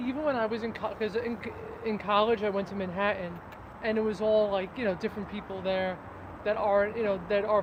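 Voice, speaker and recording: A woman speaks at a very fast pace in a medium pitch with fairly even intonation, over noticeable background noise. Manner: casual, conversational.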